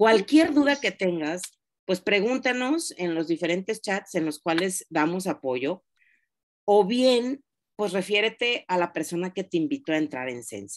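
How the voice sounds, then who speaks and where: A woman at a fairly slow pace, with very wide pitch swings, against a quiet background. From Mexico, Oaxaca. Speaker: direct sales consultant. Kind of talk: training class. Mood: warm, encouraging. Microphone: video call.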